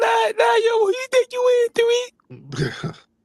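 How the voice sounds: The speaker uses a put-on character voice and delivers the lines at a fairly slow pace. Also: man.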